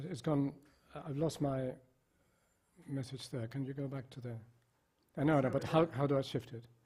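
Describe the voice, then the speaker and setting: Somewhat breathy and dark, mellow in tone, a man's medium-pitched voice moves at a moderate pace with fairly even intonation. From Spain. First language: Spanish. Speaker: psychiatrist. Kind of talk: lecture.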